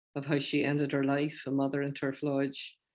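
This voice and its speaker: Her pitch very deep and low, a woman talks at a moderate pace. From Northern Ireland, rural County Londonderry. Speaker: professor and peace activist. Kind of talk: guest talk with Q&A at an online seminar.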